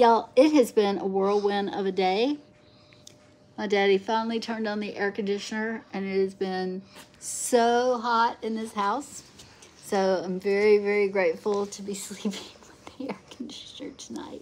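A woman speaks at a moderate pace with fairly even intonation. Light background noise is audible. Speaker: vlogger. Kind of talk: casual vlog chat. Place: home room. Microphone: phone near.

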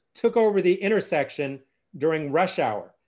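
A man's high-pitched voice at a moderate pace over a quiet background. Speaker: course host presenting slides. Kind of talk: lecture. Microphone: video call.

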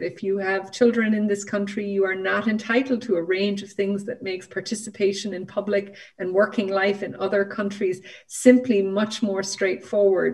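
With a Northern Irish accent, a woman of medium pitch speaks at a moderate pace with ordinary pitch variation against a quiet background. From Northern Ireland. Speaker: law professor and human rights lawyer. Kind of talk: panel discussion. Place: home room. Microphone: video call.

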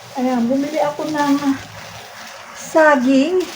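A woman speaks at a very slow pace in a high voice. Noticeable background noise runs underneath. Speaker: vlogger. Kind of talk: casual vlog monologue.

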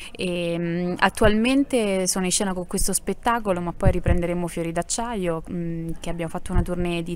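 Speech comes at a moderate pace over light background noise. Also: woman. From Apulia (Salento); Apulia. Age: young. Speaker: actress and singer; actress. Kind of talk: interview. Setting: theatre. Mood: warm, cheerful. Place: stage. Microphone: handheld.

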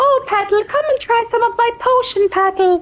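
A put-on character voice that sounds female, pitched extremely high. The pace is moderate.

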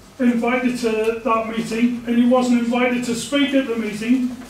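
A man's extremely high-pitched voice with monotone, flat intonation, audible room echo and light background noise. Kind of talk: public participation statement. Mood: aggrieved, complaining. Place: meeting room. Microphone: camera far.

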